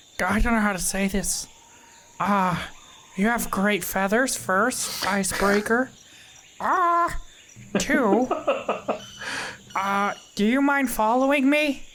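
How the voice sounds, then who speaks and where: A female-sounding voice puts on a character voice at a fairly high pitch for a woman. She moves at a fairly slow pace, with long, frequent pauses. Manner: hesitant, nervous, with stammering 'ah' and 'uh'.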